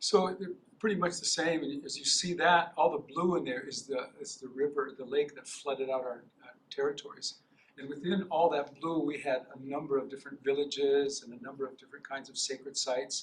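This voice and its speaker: Talking at a fairly quick pace with an American accent, a man with fairly high pitch makes big swings in loudness. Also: ordinary pitch variation. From North Dakota, USA. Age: 60s. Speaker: professor. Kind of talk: lecture. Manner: halting, many fillers.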